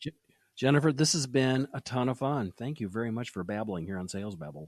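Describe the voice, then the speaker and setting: Lively intonation and a fairly quick pace come through in a dry, close sound with no echo. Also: man, medium pitch for a man. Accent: Great Lakes. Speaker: podcast host; sales podcast host. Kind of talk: interview. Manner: fast.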